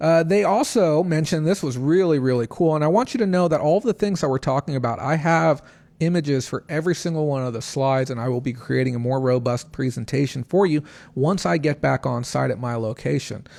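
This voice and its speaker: A man speaks at a very fast pace in a fairly high pitch. His pitch variation is ordinary, and the recording is very clean with a silent background. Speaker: online reseller livestreamer. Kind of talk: livestream recap. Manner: mellow.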